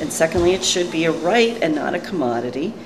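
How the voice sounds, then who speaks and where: A woman with a US East Coast accent speaks at a fairly quick pace. Music plays in the background, and there is audible room echo. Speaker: community activist. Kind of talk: informal interview statement. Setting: coffee bar after meeting.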